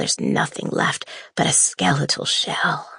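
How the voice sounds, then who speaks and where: The voice is a put-on character with a raspy quality. Its delivery is fairly slow. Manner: haunted, creepy, menacing.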